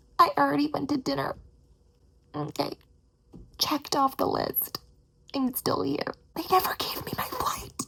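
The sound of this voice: A woman whispers in a put-on character voice with vocal fry. She goes at a fairly slow pace, with long, frequent pauses.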